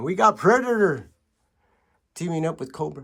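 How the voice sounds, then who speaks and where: A man does the talking. The audio is very clean and the background is silent. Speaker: toy collector vlogger. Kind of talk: casual room tour video. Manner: casual, hesitant with fillers.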